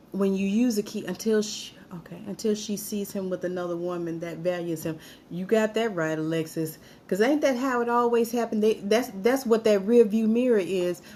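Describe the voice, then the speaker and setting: This woman has an American accent, a medium pitch and ordinary pitch variation, speaking at a moderate pace. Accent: Alabama Southern accent slipping through. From Alabama, US South. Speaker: live-stream host, military veteran. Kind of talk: live-stream talk reading viewer comments. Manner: casual, with false starts and stumbles.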